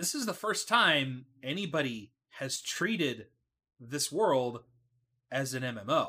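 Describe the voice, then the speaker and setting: On a very clean recording with a silent background, a man with an American accent and a fairly high pitch speaks in a bright, sharp tone, with very wide pitch swings and long, frequent pauses. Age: 30s. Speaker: podcast host. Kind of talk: casual chat. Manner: halting.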